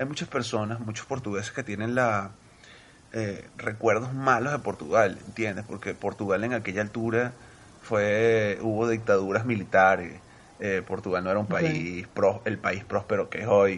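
It is an unremarkable speaking voice, from a man with a fairly low pitch. He talks at a moderate pace with fairly even intonation. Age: 30s. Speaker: Venezuelan emigrant. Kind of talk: casual chat.

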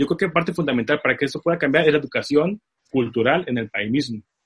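In a dry, close recording with no echo, a man talks at a very fast pace in a somewhat breathy voice, his fairly high pitch showing ordinary variation. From Tijuana, Mexico. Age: 30s. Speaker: film producer. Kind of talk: interview. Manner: animated.

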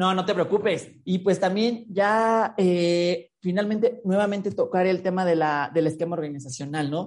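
A woman with a normal speaking voice talks at a moderate pace and medium pitch. Her pitch varies in an ordinary way over a quiet background. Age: 30s. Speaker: podcast host. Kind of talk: interview.

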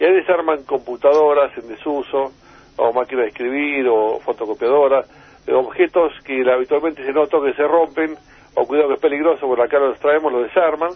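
Speaking at a fairly quick pace with fairly even intonation, a man has a fairly high pitch and an unremarkable speaking voice. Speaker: inventor. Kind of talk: interview.

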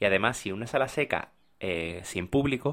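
A man speaks at a moderate pace and ordinary pitch variation, on a very clean recording with a silent background. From Spain, Málaga (Andalusia). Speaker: opera singer and podcast host. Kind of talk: casual storytelling monologue. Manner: unscripted with hesitations.

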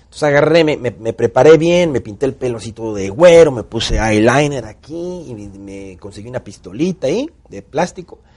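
Animated man's voice in a Mexican accent, lively intonation and big swings in loudness, quiet background. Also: medium pitch for a man, moderate pace, hardly any pauses. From Mexico, Tampico (Gulf coast). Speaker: actor and director. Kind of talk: casual interview storytelling.

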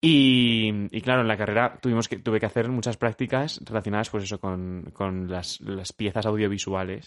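Fairly low in pitch, a man talks at a moderate pace. His voice shows ordinary pitch variation. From Madrid, Spain. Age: 20s. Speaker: podcast co-host. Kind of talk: casual chat.

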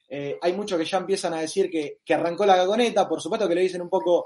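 This voice belongs to a man. His pitch variation is ordinary. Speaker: football podcast host. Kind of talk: casual chat; match commentary over replay.

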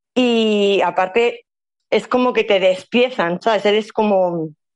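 The voice belongs to a woman. It has a medium pitch. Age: 40s. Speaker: prostitution survivor and activist. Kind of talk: interview testimony. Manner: halting.

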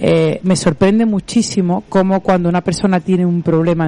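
Speaking in a normal speaking voice, a woman has a fairly low pitch, ordinary pitch variation and a moderate pace. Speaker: radio host, physiotherapist. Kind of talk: radio interview.

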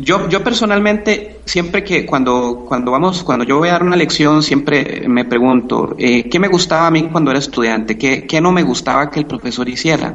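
Lively intonation in a Costa Rican accent, with hardly any pauses and noticeable background noise. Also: man, fairly high pitch for a man, moderate pace. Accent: Costa Rican, charming. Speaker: math and physics teacher. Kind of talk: interview. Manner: hesitant, many fillers.

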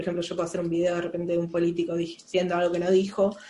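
The speaker talks at a very fast pace with a Rioplatense accent. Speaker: animation podcast co-host. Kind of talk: casual chat.

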